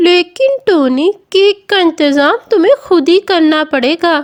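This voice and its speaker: In a cartoonish character voice, a woman speaks at a very slow pace with extremely high pitch. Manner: warm, kindly.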